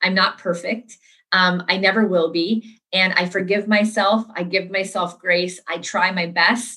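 Speaking with an American accent, a woman talks at a fairly slow pace and medium pitch with monotone, flat intonation. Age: 40s. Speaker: entrepreneur. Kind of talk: interview.

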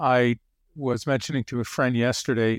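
In a very clean recording with a silent background and a dry, close sound with no echo, a man with an American accent and a medium pitch speaks at a moderate pace in an unremarkable speaking voice. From Connecticut. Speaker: psychotherapist. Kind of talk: interview.

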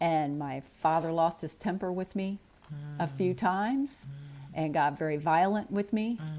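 With an American accent, a woman talks at a moderate pace in an ordinary speaking voice, fairly low in pitch and lively in intonation. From US Midwest, St. Louis area. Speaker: birth mother. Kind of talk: personal testimony.

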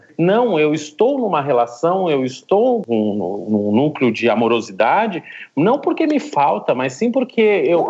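With a southern Brazilian accent, a man talks at a very slow pace. His fairly high pitch swings very widely. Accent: gaúcho (southern Brazilian). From southern Brazil, Rio Grande do Sul. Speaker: philosophy professor. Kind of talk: discussion. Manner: halting, with frequent repetitions.

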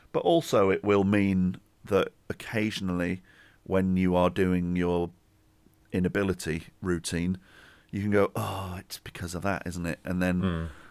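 With an English accent and a very deep, low pitch, a man speaks at a fairly slow pace in a monotone, flat intonation on a very clean recording with a silent background. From England. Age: 40s. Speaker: podcast host. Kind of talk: casual chat.

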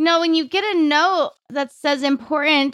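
In a very clean recording with a silent background and a dry, close sound with no echo, a woman speaks fairly slowly with ordinary pitch variation. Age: 30s. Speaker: podcast host and life coach. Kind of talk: solo podcast monologue.

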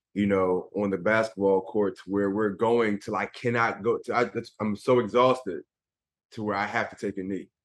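Over a quiet background, a man speaks in a normal speaking voice at a moderate pace, fairly low in pitch with fairly even intonation. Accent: American. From Philadelphia, US. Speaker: former pro basketball player and motivational speaker. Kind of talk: interview.

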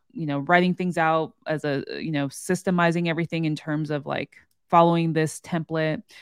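A woman uses an ordinary speaking voice, fairly low in pitch and fairly even in intonation, at a moderate pace. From US West Coast, San Francisco Bay Area. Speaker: podcast host, real estate wholesaler. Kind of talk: casual chat.

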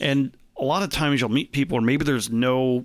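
A man with a Chicago accent speaks at a fairly quick pace and a medium pitch. The recording is very clean, with a silent background. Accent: Chicago-area American. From US Midwest, Chicago suburbs (Arlington Heights). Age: 40s. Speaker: networking event organizer. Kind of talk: casual interview chat.

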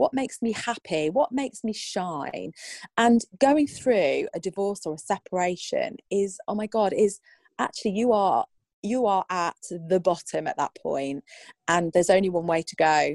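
Woman with a plain, everyday voice, medium pitch, and lively intonation, at a moderate pace, in a dry, close sound with no echo. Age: 40s. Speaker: divorce and life coach. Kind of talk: casual interview.

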